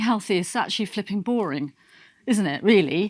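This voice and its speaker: On a very clean recording with a silent background, a woman with a British accent speaks in an animated tone at a fairly quick pace with very wide pitch swings. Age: 60s. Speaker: nutritionist. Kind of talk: motivational talk. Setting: stage with audience. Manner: halting.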